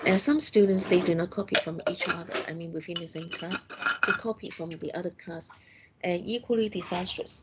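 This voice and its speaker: Speaking at a fairly quick pace with a Cantonese accent, a woman has a medium pitch and ordinary pitch variation over noticeable background noise. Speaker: university lecturer. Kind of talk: lecture. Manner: halting.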